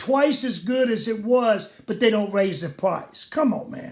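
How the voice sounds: A man's fairly slow delivery with lively intonation.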